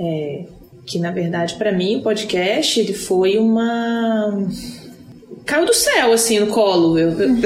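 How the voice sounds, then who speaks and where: Very slow pace, long, frequent pauses, and lively intonation, with noticeable background noise. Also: woman, medium pitch for a woman. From Brazil, Brasília. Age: 30s. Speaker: podcast co-host. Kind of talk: casual chat. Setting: in person, recorded live together.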